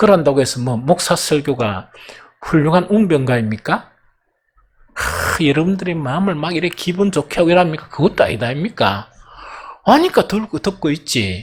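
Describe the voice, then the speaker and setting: In a Gyeongsang accent, a man speaks at a moderate pace with an animated tone, a fairly high pitch and very wide pitch swings. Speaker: pastor. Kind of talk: sermon. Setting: church.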